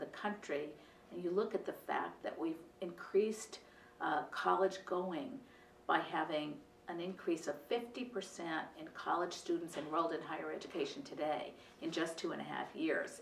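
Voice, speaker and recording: A woman at a fairly low pitch and moderate pace, ordinary pitch variation, audible room echo and light background noise. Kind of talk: interview answer. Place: office.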